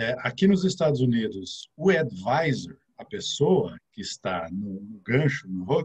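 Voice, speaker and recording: A man's vocal fry at a fairly slow pace, very wide pitch swings and hardly any pauses. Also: medium pitch for a man, big swings in loudness. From Brazil, interior of São Paulo (Ribeirão Preto). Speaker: financial advisor. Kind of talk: casual interview chat.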